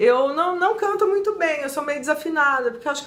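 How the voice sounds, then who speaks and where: Her intonation is lively as this woman speaks. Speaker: book reviewer, YouTuber. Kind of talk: book review vlog. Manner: animated.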